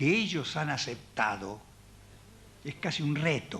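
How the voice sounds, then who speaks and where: Male speech pitched fairly high, full of very wide pitch swings. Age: 70s. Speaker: theatre director and puppeteer giving a talk. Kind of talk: public talk.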